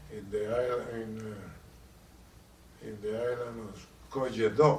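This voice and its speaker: With a Puerto Rican accent, a man speaks at a fairly slow pace and medium pitch, his intonation fairly even but his loudness swinging widely, over noticeable background noise. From Puerto Rico. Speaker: war veteran. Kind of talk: interview answer.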